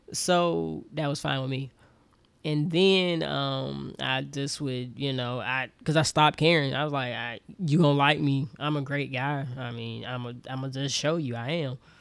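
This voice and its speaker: Speaking at a fairly slow pace, this is an ordinary speaking voice with an American accent. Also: man, medium pitch for a man, ordinary pitch variation. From US South, Alabama. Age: 20s. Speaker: podcast host. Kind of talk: personal monologue.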